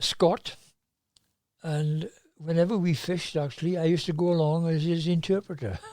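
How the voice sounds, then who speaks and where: In a South Welsh accent, a man with a high-pitched, dark, mellow tone keeps fairly even intonation at a moderate pace, leaving long, frequent pauses. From South Wales. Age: 80s+. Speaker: fly fisherman. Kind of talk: podcast interview answer. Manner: hesitant, conversational.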